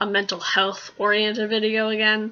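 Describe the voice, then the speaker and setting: The speaker is a woman. Her voice sits fairly high in pitch. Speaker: mental health vlogger. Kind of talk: casual vlog monologue. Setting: home alone, filming at home. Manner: loud; halting, many fillers.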